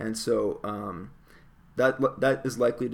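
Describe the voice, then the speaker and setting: This man has a southern Ontario accent. He is the only speaker heard. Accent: southern Ontario Canadian. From Canada, Windsor area across from Detroit. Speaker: planetary scientist. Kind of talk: interview.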